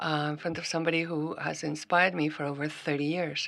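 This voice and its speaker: On a very clean recording with a silent background, a woman with a very deep, low pitch talks at a moderate pace in a Greek accent, her intonation fairly even. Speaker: scientist speaker at symposium. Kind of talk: formal speech opening. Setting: stage with audience. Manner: formal.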